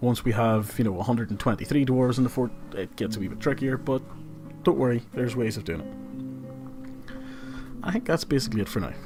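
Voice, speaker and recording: The speaker has a Northern Irish accent and a very fast pace. Music plays in the background. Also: man. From Northern Ireland. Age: 20s. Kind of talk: casual gameplay livestream commentary. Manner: casual, chatty.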